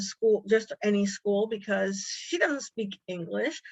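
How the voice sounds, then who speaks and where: An ordinary speaking voice with an American accent, moderate pace and ordinary pitch variation. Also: woman. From United States. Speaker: deported adoptee. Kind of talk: interview testimony.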